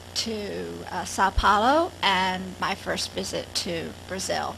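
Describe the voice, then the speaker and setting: The speech moves at a very slow pace. Audible room echo and noticeable background noise surround it. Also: woman. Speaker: professor, project director. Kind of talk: conference keynote. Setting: lecture hall with audience. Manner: halting, many fillers.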